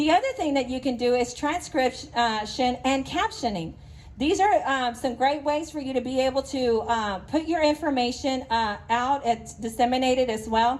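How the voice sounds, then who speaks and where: A woman speaks with a high pitch. She keeps a moderate pace. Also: ordinary pitch variation. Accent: East Texas. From East Texas. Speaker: business association president. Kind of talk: presentation talk.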